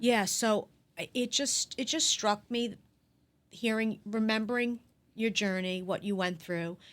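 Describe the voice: A woman with a fairly high pitch talks at a fairly slow pace, with ordinary pitch variation.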